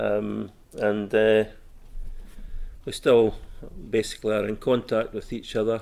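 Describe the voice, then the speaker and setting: In a Scottish accent, a man talks at a fairly slow pace with a fairly low pitch, monotone, flat intonation, and long, frequent pauses. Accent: Scottish (Fife). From Scotland, Fife (Inverkeithing). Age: 60s. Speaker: oral history interviewee. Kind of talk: interview. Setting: civic centre room. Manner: hesitant, many fillers.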